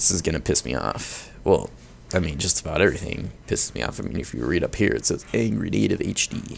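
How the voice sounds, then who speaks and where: A man speaks with a very deep, low pitch. His pace is fairly quick and his pitch swings very widely. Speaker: gaming YouTuber. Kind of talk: gameplay commentary. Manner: animated; prone to angry outbursts.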